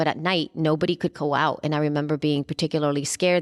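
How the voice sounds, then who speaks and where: A woman talks at a very fast pace in a very deep, low pitch. The sound is dry and close with no echo. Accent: Spanish. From El Salvador. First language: Spanish. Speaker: podcaster. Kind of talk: interview.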